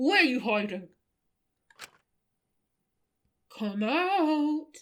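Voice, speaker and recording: A female-sounding, high-pitched voice puts on a character voice. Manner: menacing.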